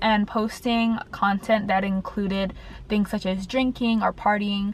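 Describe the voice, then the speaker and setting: A woman's fairly high, somewhat breathy voice at a moderate pace, with ordinary pitch variation. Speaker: dental school applicant vlogger. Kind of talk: casual vlog tips. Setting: in a car.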